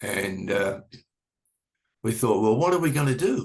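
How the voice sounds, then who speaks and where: Speaking in an Australian accent, a man keeps to a medium pitch. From Australia, Sydney. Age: 70s. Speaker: music manager and promoter. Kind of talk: interview.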